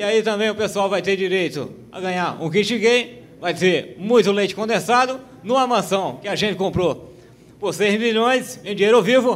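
Pitched high, this man speaks at a fairly slow pace with pitch varying in an ordinary way. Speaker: stand-up comedian. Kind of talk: stand-up comedy routine. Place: stage. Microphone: handheld.

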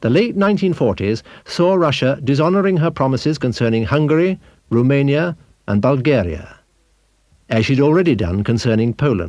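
With a dramatic tone, a man speaks at a fairly high pitch and a moderate pace. His pitch makes very wide swings. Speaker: documentary narrator. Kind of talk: 1970s documentary narration, scripted and authoritative. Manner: formal, measured, dramatic, steady delivery.

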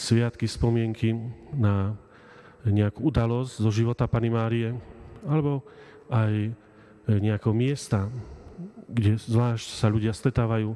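Here a man talks at a fairly slow pace with monotone, flat intonation. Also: quiet background. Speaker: priest. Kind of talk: sermon. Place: church. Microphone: podium.

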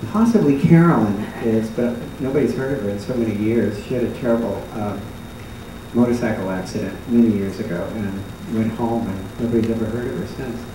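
A man talks fairly quickly with ordinary pitch variation, with noticeable background noise and audible room echo. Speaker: former dancer on a panel. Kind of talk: reminiscing panel talk. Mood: warm nostalgic storytelling. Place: stage.

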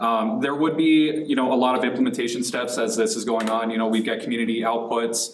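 A man at medium pitch, speaking very fast with fairly even intonation, amid audible room echo and noticeable background noise. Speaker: city communications staff member. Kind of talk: council presentation. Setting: city council meeting. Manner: halting.

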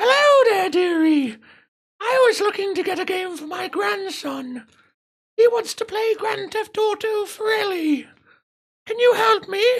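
Someone uses a put-on character voice at an extremely high pitch, speaking at a moderate pace with long, frequent pauses. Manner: sweet, polite.

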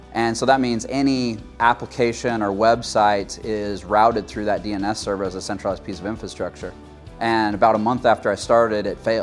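Faint music plays in the background as a man with fairly low pitch and ordinary pitch variation talks at a fairly quick pace. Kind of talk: interview answer. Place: studio. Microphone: lapel.

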